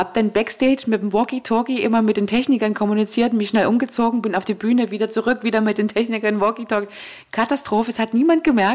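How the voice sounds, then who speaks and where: Speech comes at a very fast pace with ordinary pitch variation. Noticeable background noise runs underneath. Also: woman. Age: 40s. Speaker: event manager. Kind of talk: interview. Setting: at her home.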